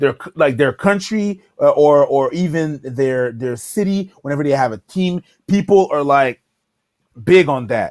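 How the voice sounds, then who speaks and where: Lively intonation at a fairly slow pace, in a very clean recording with a silent background and a dry, close sound with no echo. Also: man, fairly high pitch for a man. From Montreal, Canada. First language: French. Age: 30s. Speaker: comedy YouTuber. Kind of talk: casual interview chat. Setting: livestream collab.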